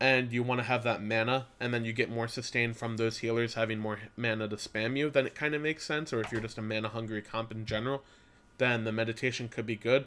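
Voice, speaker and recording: A man with a medium pitch and a bright, sharp tone speaks at a very fast pace in a flat, monotone way. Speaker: gaming video creator. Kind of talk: game guide commentary. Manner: halting, stuttering.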